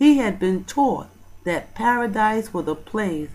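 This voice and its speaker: A woman's very slow delivery with lively intonation. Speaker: bible study teacher. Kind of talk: sermon. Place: church. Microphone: handheld.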